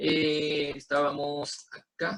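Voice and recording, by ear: The voice has vocal fry, a bright, sharp tone and a slightly husky edge. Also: man.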